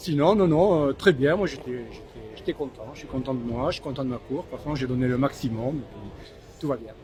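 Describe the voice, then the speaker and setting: Over music in the background, a man of medium pitch speaks at a fairly quick pace, with ordinary pitch variation and big swings in loudness. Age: 60s. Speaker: long-distance fin swimmer, charity founder. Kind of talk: post-race interview. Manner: halting, repeats words.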